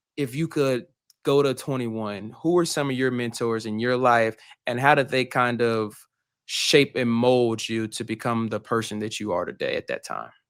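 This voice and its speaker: Here a man uses a normal speaking voice at a medium pitch, with fairly even intonation. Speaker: podcast host; college senior. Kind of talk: podcast interview.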